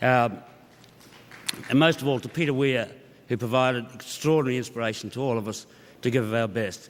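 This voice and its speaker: Over noticeable background noise, a man with an Australian accent talks at a fairly quick pace in a medium pitch, with fairly even intonation and long, frequent pauses. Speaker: cinematographer, award winner. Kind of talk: acceptance speech. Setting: stage with audience. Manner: halting, filler-laden.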